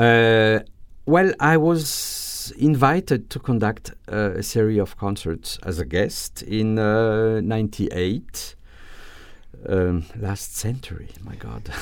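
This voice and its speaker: A man speaks at a very slow pace with a fairly low pitch. The recording is very clean, with a silent background. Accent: French. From France, Alsace. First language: French. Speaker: orchestra conductor. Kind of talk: interview. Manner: halting.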